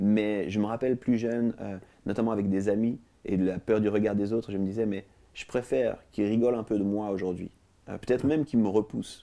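A man's fairly low, dark and mellow voice, with fairly even intonation and a fairly quick pace. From Switzerland, Lausanne; Switzerland. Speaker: TV talk show guest. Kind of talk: interview; interview answer. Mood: calm, reflective. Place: studio. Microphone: lapel.

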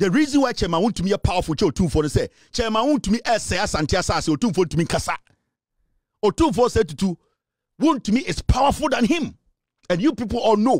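A man talks very fast with an animated tone, high pitch and very wide pitch swings. The sound is dry with no echo, and the background is quiet. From Ghana. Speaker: political commentator. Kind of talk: political rant. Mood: angry, combative. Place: studio. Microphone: studio mic.

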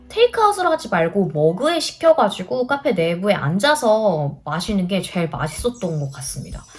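With music in the background, a woman of medium pitch speaks at a moderate pace with hardly any pauses. Her pitch swings very widely. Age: 30s. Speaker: homemaker, vlogger. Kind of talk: casual vlog talk to camera, cafe recommendations.

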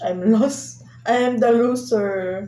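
A woman's dark, mellow tone with audible room echo and light background noise. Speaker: food vlogger. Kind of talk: casual vlog chat. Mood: playful, mock defeated. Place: home room. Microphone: camera far.

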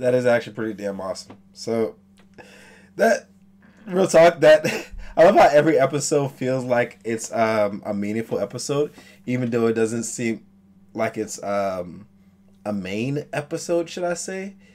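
Here a man talks with lively intonation. His pace is moderate. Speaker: anime reaction youtuber. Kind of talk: casual reaction commentary. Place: home room.

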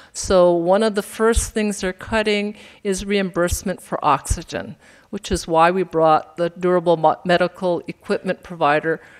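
Against a quiet background, a woman with a normal speaking voice and fairly low pitch talks at a moderate pace with fairly even intonation. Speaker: nonprofit director; presenter. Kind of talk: event announcements. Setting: stage with audience. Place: hall. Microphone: podium.

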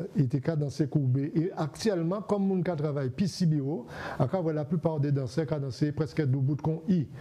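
Hardly pausing, a man speaks at a moderate pace with a fairly high pitch. His pitch varies in an ordinary way. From Guadeloupe. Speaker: TV host. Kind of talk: TV interview. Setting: TV studio. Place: studio. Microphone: lapel.

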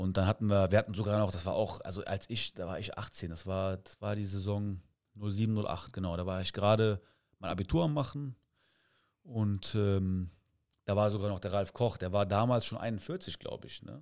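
A man speaks at a fairly low pitch with fairly even intonation. The background is quiet. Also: moderate pace. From Cologne area, Germany; Germany. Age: 30s. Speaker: amateur football coach. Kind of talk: casual interview. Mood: relaxed storytelling. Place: studio. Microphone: studio mic.

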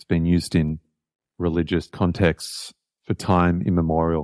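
With an Australian accent, a man speaks at a fairly slow pace in a very deep, low pitch and a monotone, flat intonation, the sound dry and close with no echo. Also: very clean recording, silent background. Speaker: jazz saxophonist and composer. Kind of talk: interview. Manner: halting, with many repetitions.

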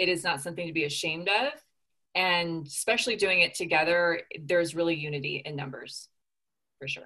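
The speaker has an American accent and a bright, sharp tone, talking at a fairly quick pace with ordinary pitch variation and long, frequent pauses against a quiet background. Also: woman, fairly low pitch for a woman. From Southern California. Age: 30s. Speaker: former grief group member. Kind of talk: casual chat. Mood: warm, reflective. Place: home room. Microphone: video call.

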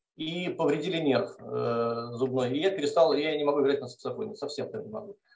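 A man talks with lively intonation. The room echo is audible. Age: 40s. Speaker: mathematics professor. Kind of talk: testimony. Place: kitchen. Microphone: video call.

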